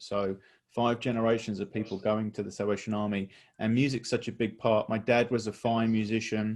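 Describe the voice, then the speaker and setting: At a fairly quick pace, a man speaks with a southern English accent. His pitch is medium and the background is quiet. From England, near London. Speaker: church music director. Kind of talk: interview. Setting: video call.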